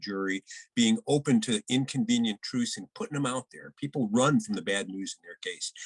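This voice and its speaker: An unremarkable speaking voice from a man at medium pitch, with ordinary pitch variation and a dry, close sound with no echo. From Detroit area, Michigan. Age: 60s. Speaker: criminal defense lawyer. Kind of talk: podcast interview.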